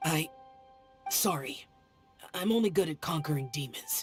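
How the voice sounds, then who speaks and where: A raspy, cartoonish character voice at middle pitch and moderate pace, with faint music in the background. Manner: terse, reserved.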